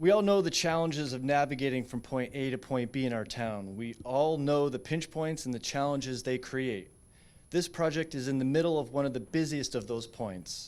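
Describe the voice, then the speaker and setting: A plain, everyday voice speaks with an American accent. The pace is moderate and the pitch variation ordinary. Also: man, medium pitch for a man. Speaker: public commenter. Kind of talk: public hearing statement. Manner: formal.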